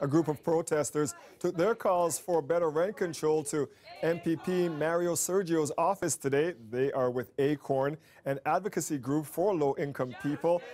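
This man has an unremarkable speaking voice with a Canadian accent, a fairly high pitch, ordinary pitch variation, very even loudness and a moderate pace. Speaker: news reporter. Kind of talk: news reporting.

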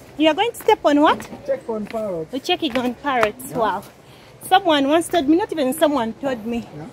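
A high-pitched woman talks at a fairly quick pace with very wide pitch swings and big swings in loudness, recorded dry with no echo but with noticeable background noise. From Uganda. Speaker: travel vlogger. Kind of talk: travel vlog walkthrough. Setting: outdoors. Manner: animated. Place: garden. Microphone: phone near.

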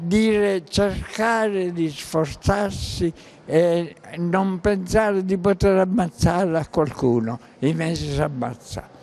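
Talking at a very slow pace, a man uses a high pitch with ordinary pitch variation. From Sicily, Paternò; Sicily. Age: 80s+. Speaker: war veteran; witness. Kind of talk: testimony. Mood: grave, pessimistic.

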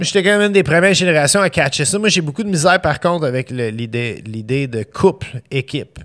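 The delivery is fairly quick, with lively intonation. The background stays quiet. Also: man, fairly high pitch for a man. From Montreal (east end), Quebec. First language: English (speaking French). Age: 40s. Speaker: chef; podcast guest. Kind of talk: casual chat. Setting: studio. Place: studio. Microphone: studio mic.

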